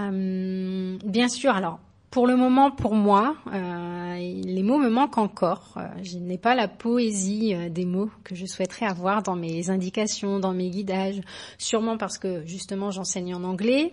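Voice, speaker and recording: Very slow speech against a quiet background. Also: woman, medium pitch for a woman, ordinary pitch variation. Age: 30s. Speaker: yoga teacher. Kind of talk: recorded voice message testimony.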